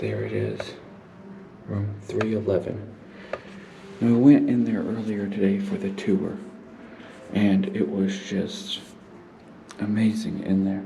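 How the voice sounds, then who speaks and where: Speaking at a fairly slow pace, a man leaves long, frequent pauses amid audible room echo and noticeable background noise. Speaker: paranormal explorer YouTuber. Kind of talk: vlog narration.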